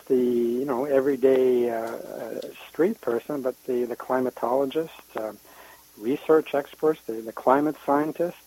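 Very slow speech with fairly even intonation, in a French accent. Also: man. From lives in Canada. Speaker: guest contributor, climate blogger.

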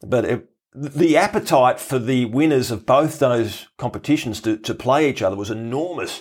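Speaking at a moderate pace in an Australian accent, a man has a medium pitch and ordinary pitch variation in a very clean recording with a silent background. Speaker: podcast host. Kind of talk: casual chat.

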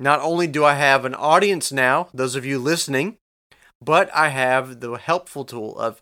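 A man's bright, sharp voice, fairly high in pitch, with ordinary pitch variation, on a very clean recording against a silent background. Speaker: podcast host. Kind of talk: solo podcast monologue. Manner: reserved, not showing emotion.

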